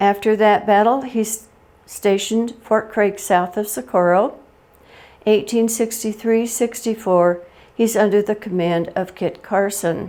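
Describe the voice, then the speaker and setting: A woman with a Western US accent speaks in a dark, mellow tone at a fairly high pitch. Her pace is fairly slow and her intonation fairly even. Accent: American Western. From Colorado, USA. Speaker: oral history presenter. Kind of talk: oral history talk. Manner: humorous.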